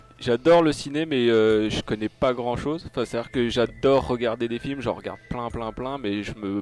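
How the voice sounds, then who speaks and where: A voice with a Lorraine accent speaks at a moderate pace with ordinary pitch variation. Music plays in the background. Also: man. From France, Lorraine. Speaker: podcast guest, film fan. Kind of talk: casual chat.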